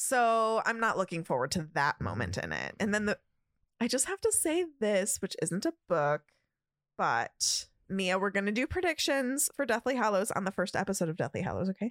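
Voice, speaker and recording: On a very clean recording with a silent background, a woman speaks at a moderate pace and medium pitch, her pitch swinging very widely, with vocal fry and very even loudness. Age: 30s. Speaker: podcast co-host. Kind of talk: casual chat. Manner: animated.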